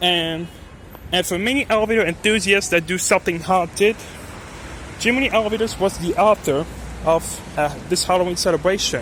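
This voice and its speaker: A man with a high-pitched voice talks at a fairly quick clip, with long, frequent pauses and noticeable background noise. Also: ordinary pitch variation. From France. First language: French. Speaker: elevator enthusiast vlogger. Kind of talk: casual vlog narration. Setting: parking garage. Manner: halting.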